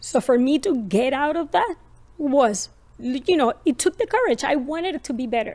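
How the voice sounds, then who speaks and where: With a Colombian accent, a woman talks at a moderate pace in a high pitch with lively intonation. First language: Spanish. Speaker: parenting podcast host. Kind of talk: personal story in podcast conversation.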